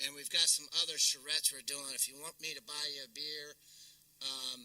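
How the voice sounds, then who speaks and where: In a North Carolina accent, a man talks with big swings in loudness. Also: fairly quick pace. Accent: US Southern, North Carolina. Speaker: keynote speaker, downtown development executive. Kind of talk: luncheon keynote talk. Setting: luncheon audience, also streamed.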